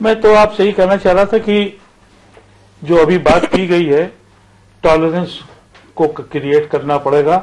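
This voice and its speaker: This man talks at a high pitch, leaving long, frequent pauses. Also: ordinary pitch variation. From rural India. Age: 70s. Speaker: TV debate panelist. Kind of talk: TV debate.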